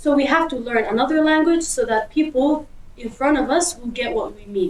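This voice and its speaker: With noticeable background noise behind her, a woman speaks at a high pitch and a moderate pace, using lively intonation. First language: Kurdish. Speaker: interviewee. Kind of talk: street interview.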